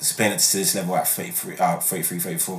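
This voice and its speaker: A man's voice with noticeable background noise. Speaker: podcast host and sports commentator. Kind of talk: casual chat and sports discussion.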